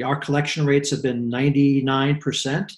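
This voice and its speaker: A man speaks at a fairly slow pace with a somewhat breathy voice. His pitch sits fairly high. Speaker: real estate executive. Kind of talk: interview conversation.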